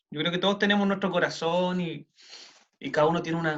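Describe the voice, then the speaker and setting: Talking at a very fast pace, a man with a Chilean accent uses a high pitch with ordinary variation. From Chile, Santiago. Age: 30s. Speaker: city councillor and lawyer. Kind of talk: interview. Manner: casual, many fillers.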